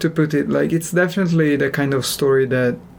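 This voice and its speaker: Delivery is moderate in pace. A non-native accent can be heard. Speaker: podcast co-host. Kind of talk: casual chat. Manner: calm, relaxed.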